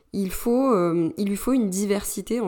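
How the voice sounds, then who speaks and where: Ordinary pitch variation is heard on a very clean recording with a silent background. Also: woman. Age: 30s. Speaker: podcast host, business coach for women entrepreneurs. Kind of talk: solo podcast monologue. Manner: hesitant, many fillers.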